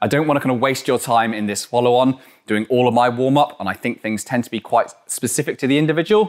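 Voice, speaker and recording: A man talks at a very fast pace with ordinary pitch variation over a quiet background. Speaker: climbing coach. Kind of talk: tutorial. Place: gym. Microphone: lapel.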